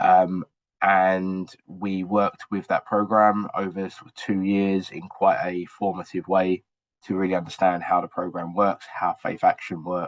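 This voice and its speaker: A man with an English accent talks in a very deep, low pitch at a fairly slow pace. His intonation is monotone and flat, while his loudness swings widely. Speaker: university researcher and evaluator. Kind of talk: webinar presentation.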